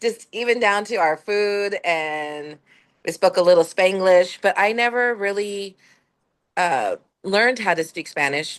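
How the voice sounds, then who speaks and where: Against a quiet background, a woman with an American accent talks fairly slowly at a medium pitch with ordinary pitch variation. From Southern California (Fontana). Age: 50s. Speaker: student. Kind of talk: casual chat.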